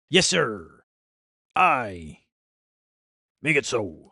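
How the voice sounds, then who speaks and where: The speaker uses a put-on character voice with a playful tone. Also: low-to-middle pitch, very wide pitch swings. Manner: playful, gruff.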